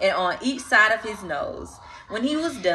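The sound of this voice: Simply an unforced reading voice.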